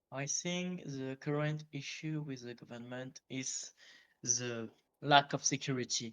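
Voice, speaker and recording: A man with a French accent speaks very slowly at a medium pitch, his intonation fairly even. The sound is dry and close with no echo, and his loudness swings widely. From northern France. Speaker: interviewee, game role-player. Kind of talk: interview. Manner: halting.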